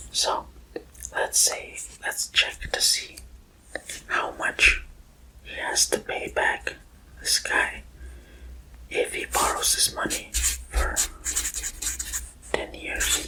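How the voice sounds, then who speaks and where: Against noticeable background noise, a man whispers in a relaxed tone at a very slow pace, leaving long, frequent pauses. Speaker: ASMR creator. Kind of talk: ASMR math lesson. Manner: whispered; soft-spoken, relaxed.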